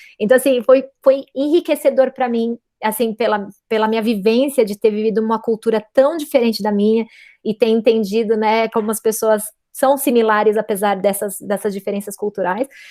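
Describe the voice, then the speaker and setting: A woman speaks with a fairly high pitch and a dark, mellow tone. Her pace is moderate, her intonation fairly even, and the sound dry and close with no echo. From São Paulo, Brazil. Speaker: physicist. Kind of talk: interview.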